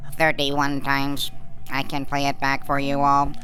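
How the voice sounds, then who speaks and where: Someone does a put-on character voice with a deadpan tone at a low-to-middle pitch and a moderate pace, over clear background noise. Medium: audio drama. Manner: precise, deadpan, know-it-all.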